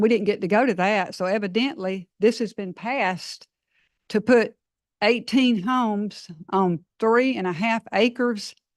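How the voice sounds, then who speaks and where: A woman with a Georgia accent speaks at a moderate pace and medium pitch, with ordinary pitch variation over a quiet background. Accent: US Southern (Georgia). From Georgia, Forest Park area. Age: 60s. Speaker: resident speaking at public comment. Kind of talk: public comment at council meeting. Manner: halting.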